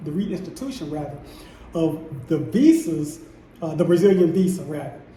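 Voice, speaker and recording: A man speaks at a moderate pace with a high pitch. Both audible room echo and noticeable background noise are present. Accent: American. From United States. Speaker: vlogger. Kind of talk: casual vlog monologue. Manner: stumbling, repeats words.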